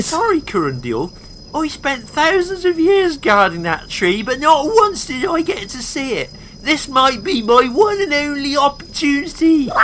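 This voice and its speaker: The speaker uses a high-pitched, put-on character voice at a moderate pace. Clear background noise runs underneath. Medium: audio drama. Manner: enthusiastic, chatty.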